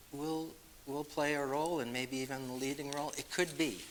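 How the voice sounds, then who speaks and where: A man with a Boston accent, with noticeable background noise. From Massachusetts. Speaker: author and speaker. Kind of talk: Q&A after a lecture. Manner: halting, with many fillers.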